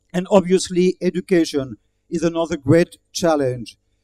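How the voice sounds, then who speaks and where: Dark and mellow in tone yet high in pitch, a man with a French accent speaks with ordinary pitch variation in a dry, close sound with no echo. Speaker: diplomat giving speech. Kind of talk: formal speech. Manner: formal.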